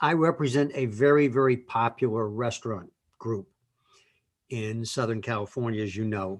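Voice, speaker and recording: A man with an ordinary speaking voice and medium pitch talks at a moderate pace, with ordinary pitch variation, against a quiet background. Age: 60s. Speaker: lawyer. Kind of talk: casual chat.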